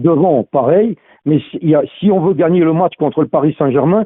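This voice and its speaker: A man talks at a moderate pace in a plain, everyday voice. His pitch sits fairly high and varies in an ordinary way. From Lorraine, France (Meurthe-et-Moselle). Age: 60s. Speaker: football fan caller. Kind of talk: phone-in call.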